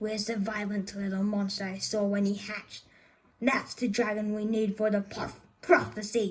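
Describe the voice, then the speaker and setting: A woman's put-on character voice, hissing and menacing in tone, at a medium pitch and moderate pace. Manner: hissing, menacing.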